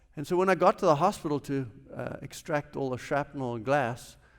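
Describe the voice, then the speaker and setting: A man speaks with a South African accent. His pace is moderate. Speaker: businessman, chapel speaker. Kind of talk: chapel talk, personal testimony. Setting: university chapel service.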